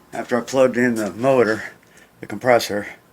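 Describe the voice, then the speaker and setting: The speaker's pitch varies in an ordinary way, with noticeable background noise behind the voice. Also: man. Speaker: amateur DIY mechanic. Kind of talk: DIY repair tutorial.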